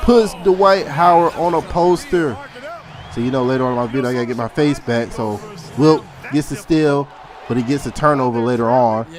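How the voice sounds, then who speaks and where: An animated man talks at a fairly quick pace and fairly high pitch with lively intonation over noticeable background noise. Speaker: gaming youtuber. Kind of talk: gameplay commentary.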